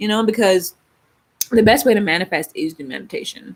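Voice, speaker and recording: An animated woman with an Atlanta accent, fairly high in pitch, at a fairly quick pace. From Baltimore, Maryland. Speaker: spiritual YouTuber. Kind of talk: casual livestream chat.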